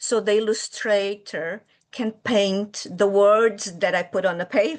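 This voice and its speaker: Fairly slow and fairly even in intonation, a woman speaks at a medium pitch with a Brazilian Portuguese accent. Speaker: early childhood educator and children's author. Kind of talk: interview. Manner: hesitant, with fillers.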